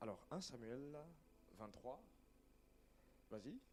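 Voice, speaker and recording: A man talks in a dark, mellow tone with very wide pitch swings. Room echo is audible. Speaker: preacher. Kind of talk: sermon.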